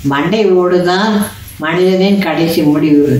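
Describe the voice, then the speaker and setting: A woman with a fairly low pitch and ordinary pitch variation speaks amid audible room echo. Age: old. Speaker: storyteller. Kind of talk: bedtime story narration. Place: home room. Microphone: phone near.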